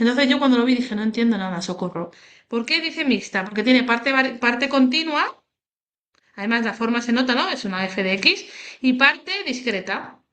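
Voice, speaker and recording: Bright and sharp, a woman's high voice moves at a fairly quick pace. Her intonation is lively. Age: 30s. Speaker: statistics teacher. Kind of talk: tutorial. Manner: animated, casual.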